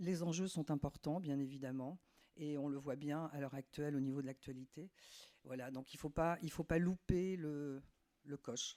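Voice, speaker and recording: Captured in a very clean recording with a silent background, a woman speaks fairly slowly in a dark, mellow tone with ordinary pitch variation. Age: 60s. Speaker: municipal election candidate. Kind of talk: candidate self-introduction.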